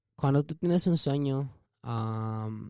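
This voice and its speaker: The voice has a dark, mellow tone, with a dry, close sound with no echo and a very clean recording with a silent background. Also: man. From Phoenix, Arizona (born in Mexico). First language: Spanish. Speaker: musician. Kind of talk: motivational speech in Spanish; casual interview.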